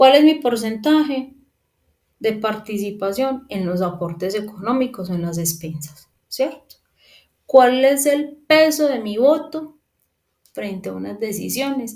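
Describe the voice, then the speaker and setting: A woman speaks at a fairly high pitch, somewhat breathy. Her pitch swings very widely. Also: big swings in loudness. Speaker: property management instructor. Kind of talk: lecture. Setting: recorded remote class.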